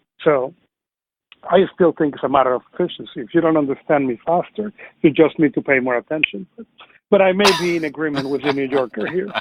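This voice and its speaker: A man with a Spanish accent and a fairly high pitch talks at a very fast pace with ordinary pitch variation. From Venezuela. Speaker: podcast co-host. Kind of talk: casual panel discussion.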